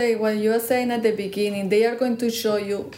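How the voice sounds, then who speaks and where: A woman's medium-pitched voice with a Spanish accent, fairly even intonation and audible room echo. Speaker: podcast co-host. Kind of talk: casual chat.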